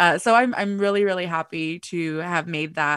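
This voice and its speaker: The tone is bright and sharp, the intonation fairly even, the pace moderate, and the background quiet. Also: woman. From US West Coast (Los Angeles). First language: Spanish. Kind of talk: casual chat.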